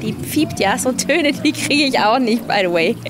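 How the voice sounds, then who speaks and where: A woman speaks at a moderate pace, the sound dry with no echo and a little background noise behind it. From Switzerland, Basel area. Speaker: singer. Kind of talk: casual interview. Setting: livestream from a living room. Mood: relaxed, friendly, smiling. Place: garden. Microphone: handheld.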